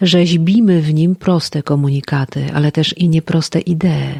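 A woman's plain, everyday voice, fairly low in pitch, at a fairly slow pace. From Podlasie, eastern Poland. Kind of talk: poetic podcast narration.

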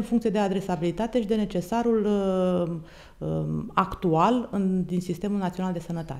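A woman's dark, mellow voice with fairly even intonation at a moderate pace. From Romania. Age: 40s. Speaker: military doctor, hospital commander. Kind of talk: interview. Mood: formal, composed. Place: office. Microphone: studio mic.

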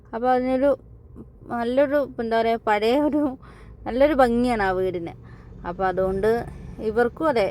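A woman speaks in a plain, everyday voice with ordinary pitch variation. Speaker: family vlogger. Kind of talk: casual chat.

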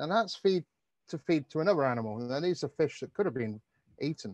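Against a quiet background, a man with a fairly high pitch uses lively intonation, the sound dry with no echo. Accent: British. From UK, raised in the Mediterranean. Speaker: ocean conservation advocate; presenter. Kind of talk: webinar presentation. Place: garden. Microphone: earbuds.

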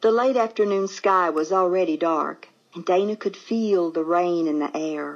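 The pitch moves in an ordinary way. The voice reads aloud naturally.

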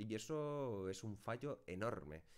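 A man's intonation is lively. The background is quiet. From Spain. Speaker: YouTuber and streamer; YouTuber, streamer. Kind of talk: casual talk to camera, answering viewer questions. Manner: chatty, long-winded. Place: home room.

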